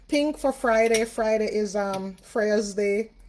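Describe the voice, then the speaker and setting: A woman's fairly high voice at a very slow pace. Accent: Jamaican. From Jamaica. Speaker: spiritual reader and livestream host. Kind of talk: casual livestream chat. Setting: live video stream.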